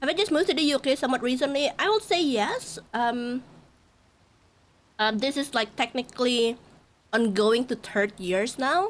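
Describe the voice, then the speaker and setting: With an Indonesian accent, a woman speaks at a high pitch and a moderate pace, using lively intonation and very even loudness, broken by long, frequent pauses. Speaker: VTuber streamer. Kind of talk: casual live-stream chat.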